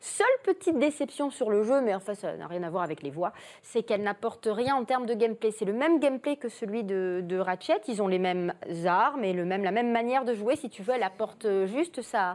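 A woman with a plain, everyday voice talks at a fairly quick pace and fairly high pitch, with lively intonation. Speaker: voice actress, guest. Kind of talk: casual chat.

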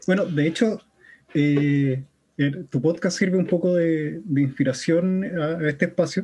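A man with a Chilean accent speaks very slowly at a high pitch, his loudness very even. His pitch varies in an ordinary way. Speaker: podcast host. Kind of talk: casual chat.

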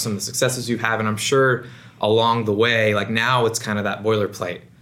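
A man's bright, sharp, monotone voice at a fairly quick pace, with audible room echo. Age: 20s. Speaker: podcast host. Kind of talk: interview.

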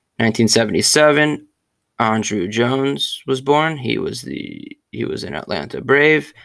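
Against a silent background on a very clean recording, a man speaks at a very slow pace. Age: 20s. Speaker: sports podcast host. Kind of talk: solo sports history monologue. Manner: casual, conversational with fillers.

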